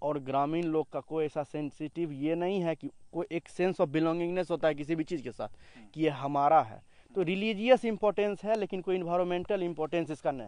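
With a plain, everyday voice, a man talks at a moderate pace and a fairly high pitch, using ordinary pitch variation against a quiet background. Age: young. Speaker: local student. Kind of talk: interview.

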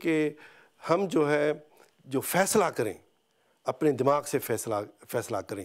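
A man talks over a quiet background. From Pakistan. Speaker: veterinarian; interviewee. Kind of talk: interview. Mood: earnest, calm. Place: home room. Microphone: lapel.

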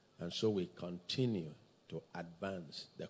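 One man speaks in a very deep, low voice with a dark, mellow tone and ordinary pitch variation. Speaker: service host. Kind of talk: church announcements. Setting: church. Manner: excited. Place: church. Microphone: handheld.

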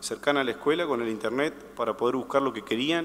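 Fairly quick speech from a man at medium pitch, fairly bright in tone, with ordinary pitch variation

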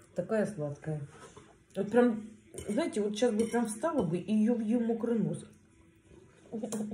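In a room with audible echo and light background noise, a woman speaks at a fairly slow pace. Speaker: food vlogger. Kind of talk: casual mukbang vlog chat. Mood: relaxed, warm. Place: home room. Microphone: phone near.

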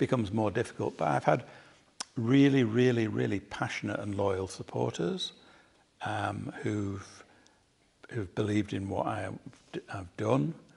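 A man with vocal fry speaks at a moderate pace with lively intonation and long, frequent pauses. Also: fairly low pitch for a man. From South Manchester, England; England. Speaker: painter; interviewee. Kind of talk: public conversation. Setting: artist's studio with live audience. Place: workshop.

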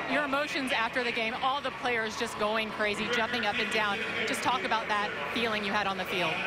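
Amid loud background noise, a woman talks at a fairly quick pace in a fairly high voice with ordinary pitch variation, the sound dry with no echo. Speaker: sideline reporter. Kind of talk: sideline interview questions; interview questions. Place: stadium. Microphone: handheld.

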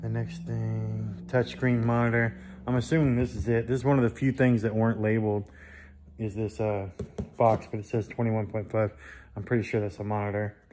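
With music in the background, a man talks at a fairly low pitch using fairly even intonation. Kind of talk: casual unboxing commentary. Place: workshop. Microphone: phone near.

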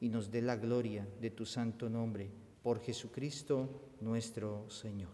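This man talks in a monotone. His intonation stays flat. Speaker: priest. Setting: church. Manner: solemn, reverent, measured; slow, intoned prayer delivery. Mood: solemn, measured. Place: church. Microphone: camera far.

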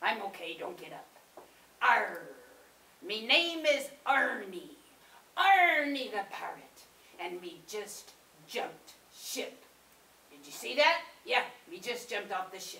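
A female-sounding cartoonish character voice, fairly high and full of very wide pitch swings, moves at a fairly slow pace with long, frequent pauses and a slight echo. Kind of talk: puppet show character monologue. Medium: puppet show. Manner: blustery, comic.

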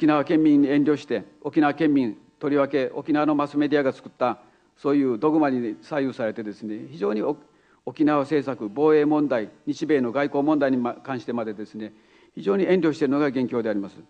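A dark, mellow tone with ordinary pitch variation and big swings in loudness. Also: man. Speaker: keynote speaker. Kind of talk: public speech. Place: hall. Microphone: podium.

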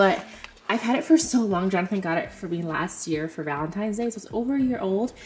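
A woman's voice over light background noise. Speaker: lifestyle vlogger. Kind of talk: casual vlog chat. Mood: cheerful, reflective. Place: home room. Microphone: phone near.

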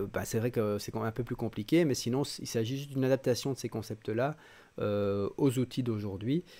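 In a dark, mellow tone, a man speaks at a fairly quick pace. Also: ordinary pitch variation. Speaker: digital education trainer. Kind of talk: online training lecture. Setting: live stream. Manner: fast. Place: home room. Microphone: studio mic.

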